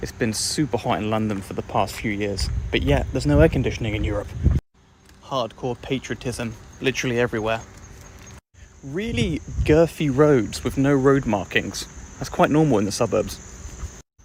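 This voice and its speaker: With vocal fry and lively intonation, a man speaks at medium pitch and a moderate pace, leaving long, frequent pauses. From England. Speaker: content creator. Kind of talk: casual vlog commentary.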